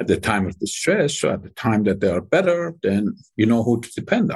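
His medium-pitched voice is somewhat breathy and moves at a moderate pace, with very wide pitch swings. The man is heard over a quiet background. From Iran. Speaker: company CEO. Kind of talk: interview.

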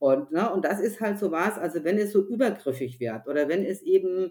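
A woman's medium-pitched voice with a dark, mellow tone, lively intonation and a moderate pace, on a very clean recording over a silent background. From Germany, Upper Franconia (Bavaria). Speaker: author and gender consultant. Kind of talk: interview conversation. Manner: hesitant with many fillers.

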